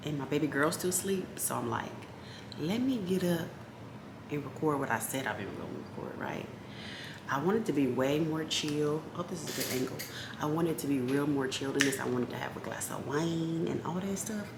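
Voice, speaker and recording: A woman's quiet whispering at a fairly quick pace, with audible room echo. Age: 30s. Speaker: lifestyle vlogger. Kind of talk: casual vlog chat. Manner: quiet, near whisper.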